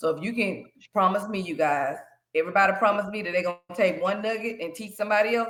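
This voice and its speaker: Talking at a very fast pace, a woman with an American accent keeps a medium pitch and ordinary pitch variation. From US South, Shreveport, Louisiana. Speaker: financial educator and credit consultant. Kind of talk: workshop presentation to young people.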